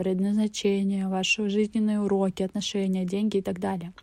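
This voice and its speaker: A woman's dark, mellow voice at a medium pitch, monotone and flat, at a moderate pace. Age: 20s. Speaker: podcaster. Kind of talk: personal monologue podcast.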